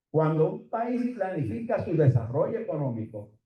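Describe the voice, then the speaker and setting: A somewhat breathy man with lively intonation. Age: 70s. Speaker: economist. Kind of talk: conference presentation.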